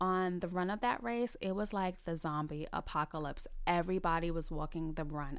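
With a New York accent, a woman speaks at a fairly low pitch and a moderate pace, her pitch varying in an ordinary way. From New York City, the Bronx. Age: 30s. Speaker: podcast host, recreational runner. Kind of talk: solo podcast monologue.

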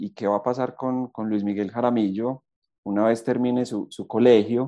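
A man speaks at a medium pitch in a dark, mellow tone. The background is quiet. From Colombia, eastern Antioquia (Rionegro). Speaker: university alumnus, business manager. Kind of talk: interview, sharing career lessons.

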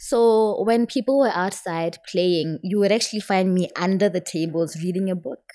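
With a Botswana accent, a woman speaks at a moderate pace with hardly any pauses, her medium pitch having a dark, mellow tone and ordinary pitch variation. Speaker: guest reader and writer. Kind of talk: reading aloud and casual chat.

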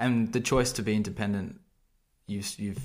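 This man talks with an Australian accent at a fairly low pitch. His pitch varies an ordinary amount. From Sydney, Australia. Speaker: podcast host. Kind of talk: casual interview.

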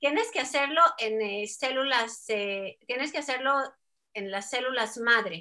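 A high-pitched woman with a bright, sharp tone talks at a fairly slow pace with ordinary pitch variation. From Mexico. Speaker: scientist researching ageing. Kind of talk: interview.

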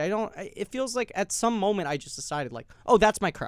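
Very wide pitch swings mark this very fast speech on a very clean recording with a silent background. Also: man. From New York City. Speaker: actor. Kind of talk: casual chat.

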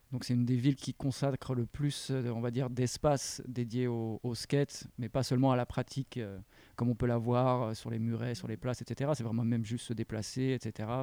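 Speaking at a moderate pace and a medium pitch, a man keeps a monotone, flat intonation in a dark, mellow tone, with a dry, close sound and no echo. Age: 30s. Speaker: skate videographer changing careers. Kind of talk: casual interview. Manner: hesitant, many fillers.

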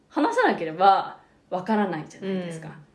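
The recording carries noticeable background noise and audible room echo. A woman's medium-pitched voice shows ordinary pitch variation. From Japan. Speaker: podcast co-host. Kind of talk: explanatory casual chat.

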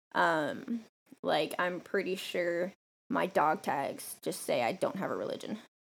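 A woman talks at a fairly slow pace with a medium pitch and vocal fry. The recording is very clean, with a silent background. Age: 20s. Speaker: podcast co-host, former soldier. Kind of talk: casual chat. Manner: profane, joking.

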